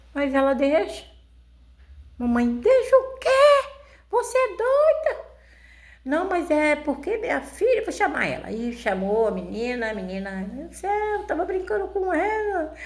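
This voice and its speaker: A woman speaks at a fairly slow pace and a high pitch, her voice making very wide pitch swings. Long, frequent pauses break up her speech, and audible room echo surrounds it. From rural Brazil. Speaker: YouTuber. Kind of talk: personal storytelling. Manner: halting, repetitive.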